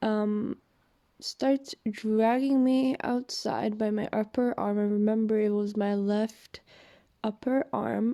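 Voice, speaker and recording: Speaking at a very slow pace with a non-native accent, a woman uses a dark, mellow tone at a fairly high pitch with ordinary pitch variation. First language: not English. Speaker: vlogger telling personal story. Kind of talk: personal testimony. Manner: hesitant, many fillers.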